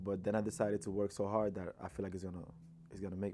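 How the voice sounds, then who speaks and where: The voice has a dark, mellow tone and a Dominican accent. It moves at a very fast pace. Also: man. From Dominican Republic. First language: Spanish. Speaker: rapper. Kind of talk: interview. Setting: studio. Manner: casual, many fillers.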